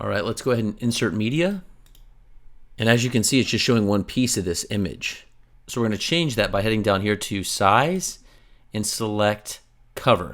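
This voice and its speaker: A man's fairly low voice with ordinary pitch variation and long, frequent pauses, on a very clean recording with a silent background. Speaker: web design tutorial creator. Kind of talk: tutorial. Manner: fast; casual.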